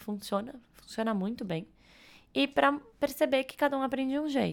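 The recording is very clean, with a silent background. A woman speaks at a moderate pace with lively intonation. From Brazil, São Paulo. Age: 20s. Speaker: edtech co-founder. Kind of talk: casual interview.

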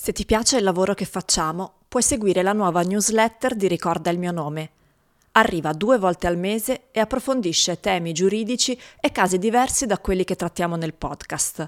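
An unremarkable speaking voice talks at a fairly quick pace with ordinary pitch variation. The recording is very clean, with a silent background. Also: woman, medium pitch for a woman, dry, close sound with no echo. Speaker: podcast narrator. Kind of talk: true-crime narration, scripted and read aloud. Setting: studio. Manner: grave, measured, solemn.

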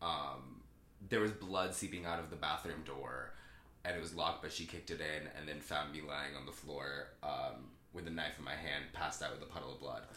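This man has an American accent, a very deep, low pitch with vocal fry, and a bright, sharp tone, talking fairly quickly with fairly even intonation amid audible room echo. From Southern California. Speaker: actor. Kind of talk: casual chat.

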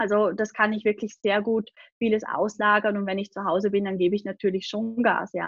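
Fairly quick pace with monotone, flat intonation. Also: woman, medium pitch for a woman. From Austria, Vorarlberg (Lake Constance). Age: 20s. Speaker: online business coach and agency owner. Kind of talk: podcast interview.

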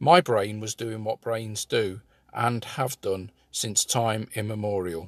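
In dry, close sound with no echo, a man speaks very slowly at a fairly low pitch with ordinary pitch variation. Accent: British. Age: 50s. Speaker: employment support coach. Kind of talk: scripted narration.

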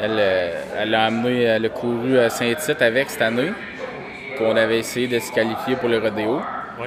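A man at a medium pitch speaks at a moderate pace with fairly even intonation and long, frequent pauses. Noticeable background noise and audible room echo surround the voice. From Quebec, Varennes near Montreal. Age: young. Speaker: horse breeder. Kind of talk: casual interview. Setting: barn at a horse show. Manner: loud.

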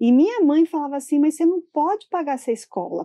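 The recording is dry and close with no echo over a quiet background. A woman speaks in a dark, mellow tone. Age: 40s. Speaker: building manager. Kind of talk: interview.

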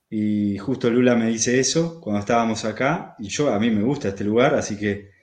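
Pitch variation here is ordinary. The pace is fairly slow. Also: man. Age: 40s. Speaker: rural settler, permaculture producer. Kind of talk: casual interview.

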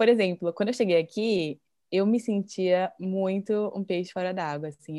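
A woman speaks with a dark, mellow tone at a moderate pace. The recording is very clean, with a silent background. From Brazil. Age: 20s. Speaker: Instagram creator living abroad. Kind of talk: casual chat.

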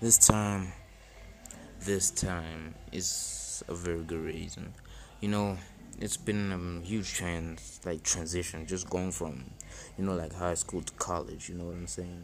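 Audible room echo surrounds a man with a very deep, low pitch who speaks at a moderate pace with ordinary pitch variation. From South Africa. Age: 20s. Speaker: podcaster. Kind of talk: solo self-help monologue. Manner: halting, many fillers and repetitions.

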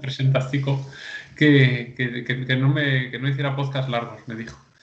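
A man speaks at a fairly slow pace and medium pitch, with audible room echo around him. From León province, Spain. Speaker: podcast host. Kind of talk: casual chat.

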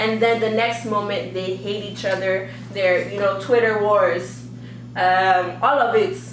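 This woman has an American accent and a medium pitch, speaking at a fairly slow pace with lively intonation. Noticeable background noise runs behind her. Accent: Nigerian and North American English switching. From Nigeria. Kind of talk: casual chat.

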